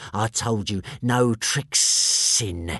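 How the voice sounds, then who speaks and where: Putting on a character voice, a man hisses at a medium pitch. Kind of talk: rough, crude speech. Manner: venomous, hissing.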